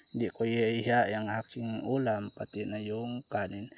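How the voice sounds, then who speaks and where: Monotone, flat intonation marks a man speaking over noticeable background noise. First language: Cebuano (Bisaya) (speaking Tagalog). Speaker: vlogger. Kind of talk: casual eating vlog. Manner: halting, code-switching. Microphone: far from the camera.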